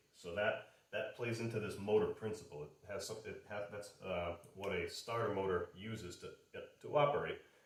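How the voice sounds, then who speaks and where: The pace is moderate. There is audible room echo. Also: man. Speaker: automotive instructor. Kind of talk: lecture. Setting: garage. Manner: halting.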